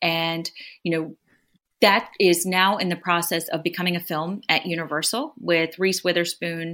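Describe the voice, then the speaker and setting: Recorded very cleanly with a silent background, a woman speaks at a moderate pace with an American accent. Her fairly low voice has a bright, sharp tone and a monotone, flat intonation. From US, Maryland (Prince George's County). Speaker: author and journalist. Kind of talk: interview.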